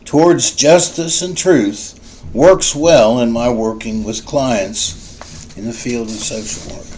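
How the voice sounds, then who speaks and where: Speaking very slowly with hardly any pauses, a man uses a medium pitch that swings very widely, with big swings in loudness too. Noticeable background noise sits behind him. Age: 60s. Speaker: social work student. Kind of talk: class introduction video. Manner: formal.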